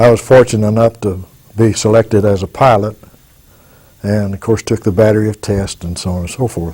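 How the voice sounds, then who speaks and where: A man speaks in an Arkansas accent with a somewhat breathy voice. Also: fairly even intonation, fairly quick pace. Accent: Southern US (Arkansas). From Arkansas, US South. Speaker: war veteran. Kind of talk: oral history testimony. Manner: halting with fillers.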